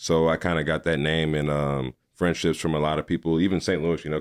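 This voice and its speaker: A man with an American accent talks at a fairly quick pace in a flat monotone. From Missouri, Farmington. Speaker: podcaster and movie critic. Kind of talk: casual interview. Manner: loud.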